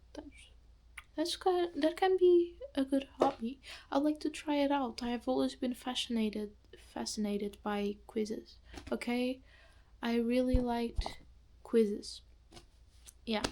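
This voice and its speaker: A woman with a non-native accent speaks at a fairly slow pace, with long, frequent pauses. Her high-pitched voice has a dark, mellow tone and lively intonation. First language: not English. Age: young. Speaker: student vlogger. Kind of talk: casual vlog monologue. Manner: halting, many fillers and restarts.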